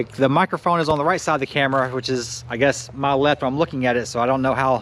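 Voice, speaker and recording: The pace is very fast. A man delivers it at a medium pitch. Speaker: RC hobby YouTuber. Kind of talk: casual vlog update. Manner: halting, stuttering. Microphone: new GoPro media mod mic, sound test.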